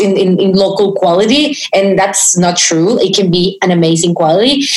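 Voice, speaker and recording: Amid noticeable background noise and audible room echo, a woman with a Spanish accent speaks at a moderate pace with ordinary pitch variation. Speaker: podcast host. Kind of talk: interview. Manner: halting.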